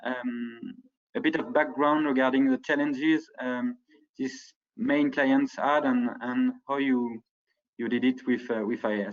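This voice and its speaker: With a French accent, a man speaks at a fairly high pitch and a fairly slow pace, his intonation lively. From France. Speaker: ad tech partnerships director. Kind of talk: conference presentation. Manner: hesitant, many fillers.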